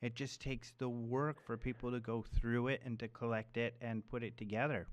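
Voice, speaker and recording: Here is a man with a normal speaking voice at a medium pitch and a moderate pace. The recording is very clean, with a silent background. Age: 30s. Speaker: radio host. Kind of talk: interview.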